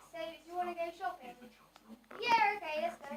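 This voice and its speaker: A woman does a cartoonish character voice at an extremely high pitch and a fairly quick pace. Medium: puppet show.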